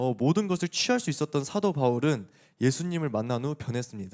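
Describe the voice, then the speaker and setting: A fairly high-pitched man's voice with very wide pitch swings, dry and close with no echo, on a very clean recording with a silent background. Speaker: youth pastor. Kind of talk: sermon. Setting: church youth service. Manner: casual, conversational with teens.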